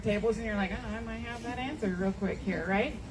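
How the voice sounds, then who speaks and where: A fairly quick pace of speech, ordinary pitch variation, noticeable background noise and audible room echo. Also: woman. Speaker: event presenter running quiz. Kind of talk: event quiz hosting. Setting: in-person event with audience. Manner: loud.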